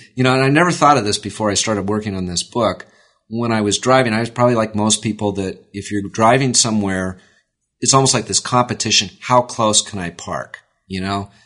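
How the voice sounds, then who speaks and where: A man with an American accent has an ordinary speaking voice at a fairly low pitch with ordinary pitch variation. He talks at a fairly quick pace against a quiet background. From US West Coast, Oakland, California. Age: 50s. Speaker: author and political journalist. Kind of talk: interview. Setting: in an office.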